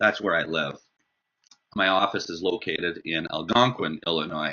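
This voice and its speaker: This man has a Canadian accent and a very deep, low voice. He talks at a moderate pace with ordinary pitch variation. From Canada. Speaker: marketing agency owner. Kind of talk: sales pitch. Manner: halting, many fillers.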